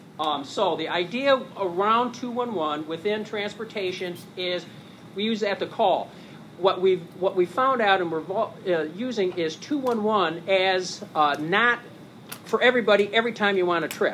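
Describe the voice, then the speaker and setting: A man speaks with a high pitch and ordinary pitch variation. Noticeable background noise runs underneath. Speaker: nonprofit program manager presenting a service. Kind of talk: conference presentation with slides. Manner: hesitant with fillers; fast.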